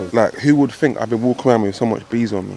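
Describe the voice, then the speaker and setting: Noticeable background noise behind speech with ordinary pitch variation. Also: man. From South London. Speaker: rapper and video host. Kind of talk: casual chat. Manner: animated.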